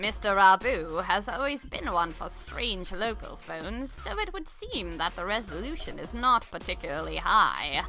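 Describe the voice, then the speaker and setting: A female-sounding put-on character voice moves at a moderate pace with hardly any pauses. Clear background noise is present. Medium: game stream. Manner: formal, measured.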